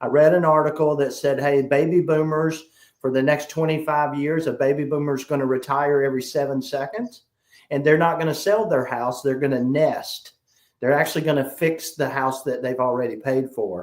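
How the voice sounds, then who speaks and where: A man speaks at a fairly high pitch and a moderate pace. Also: fairly even intonation. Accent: South Carolina. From South Carolina. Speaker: sales trainer. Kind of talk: interview.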